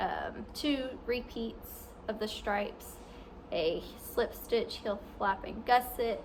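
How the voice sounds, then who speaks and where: A woman speaks at a very slow pace with fairly even intonation. Light background noise is present. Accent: American. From US South, southwest Arkansas. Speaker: knitting podcaster. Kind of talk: casual video podcast. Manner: halting, many ums and restarts. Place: home room. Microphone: phone near.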